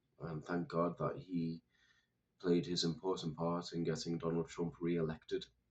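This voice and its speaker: Speaking in a British accent, a man talks at a moderate pace with a very deep, low pitch and fairly even intonation. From United Kingdom. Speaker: political commentator. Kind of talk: monologue commentary.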